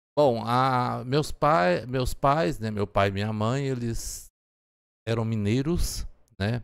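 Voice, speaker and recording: In a very clean recording with a silent background, a man at medium pitch talks very slowly with ordinary pitch variation. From Goiás, Brazil (Turvânia). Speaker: geography professor. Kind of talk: casual interview chat.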